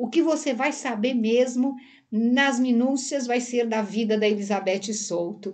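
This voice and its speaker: A somewhat breathy woman talks at a fairly slow pace. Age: 60s. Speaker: therapist and hypnosis teacher. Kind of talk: casual interview chat. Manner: halting.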